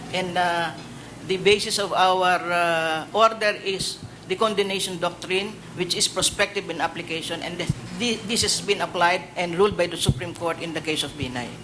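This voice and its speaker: A man with a high voice speaks at a moderate pace and with fairly even intonation over noticeable background noise. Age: 60s. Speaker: judge, judicial candidate. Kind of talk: public panel interview. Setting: hearing room. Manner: halting, many hesitations.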